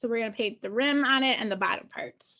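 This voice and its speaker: A woman speaks in a raised, projected voice with a bright, sharp tone and ordinary pitch variation. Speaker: painting instructor. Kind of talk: tutorial. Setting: live video call. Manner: slow.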